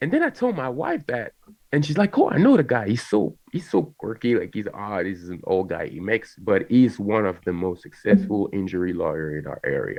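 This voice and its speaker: Speaking with a French accent, a man sounds animated and goes at a fairly quick pace with hardly any pauses. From France. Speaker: content creator. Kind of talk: casual chat.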